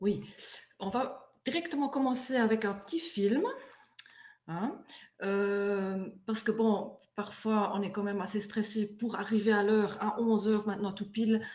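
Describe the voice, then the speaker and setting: The speaker has a strong German accent, a fairly slow pace and ordinary pitch variation. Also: woman, fairly high pitch for a woman. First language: German (speaking French). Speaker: eco-building materials consultant. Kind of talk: online presentation. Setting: online webinar. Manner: hesitant, many fillers.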